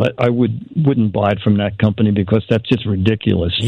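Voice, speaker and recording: Somewhat breathy speech can be heard. The speaker is a man. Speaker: comedy writer and gadget reviewer. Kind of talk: casual chat. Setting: phone call.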